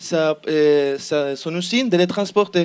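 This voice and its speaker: The speaker has a Spanish accent and a fairly slow pace. Pitch varies in an ordinary way. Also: man. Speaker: student team member presenting an innovation project. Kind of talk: project pitch presentation. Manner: halting, many repetitions and fillers.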